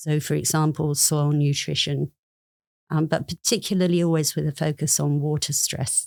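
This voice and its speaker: A British-accented woman's voice, very deep and low in pitch, at a moderate pace with fairly even intonation and very even loudness. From United Kingdom. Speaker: plant scientist. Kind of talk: podcast interview.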